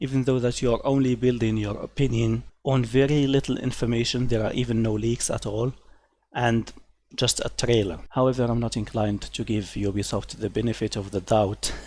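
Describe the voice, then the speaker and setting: This man has a medium pitch. He talks at a moderate pace. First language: not English (third or later language). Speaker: gaming commentary youtuber. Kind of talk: opinion commentary reading articles. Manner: animated, scornful.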